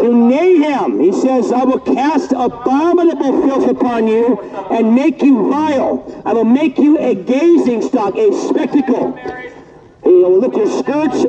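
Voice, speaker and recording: There is noticeable background noise. Through it, a man talks. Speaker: street preacher. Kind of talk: open-air street sermon. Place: street.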